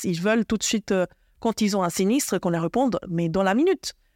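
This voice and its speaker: In a very clean recording with a silent background, a woman with a dark, mellow tone speaks at a fairly quick pace. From Argentina and Switzerland. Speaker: HR director. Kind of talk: interview podcast. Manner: hesitant, many fillers.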